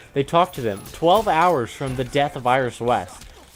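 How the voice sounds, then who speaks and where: Noticeable background noise runs under a man whose lively intonation keeps a moderate pace. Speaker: gaming youtuber. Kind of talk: casual chat. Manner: slurred, stumbling words.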